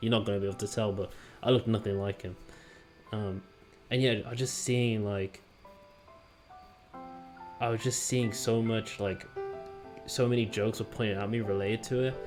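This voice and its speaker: A man at medium pitch speaks in a flat monotone at a moderate pace, with long, frequent pauses and music in the background. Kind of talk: casual talk to camera.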